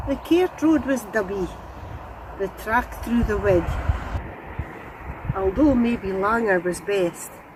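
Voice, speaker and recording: A woman with a Scottish accent, her pitch swinging very widely, amid noticeable background noise. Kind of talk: poetry reading.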